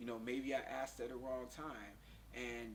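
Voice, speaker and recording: Moderate-paced speech from a man with an American accent, plus audible room echo. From US South, Pensacola, Florida. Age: 30s. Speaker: interviewee, kidney failure patient. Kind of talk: interview.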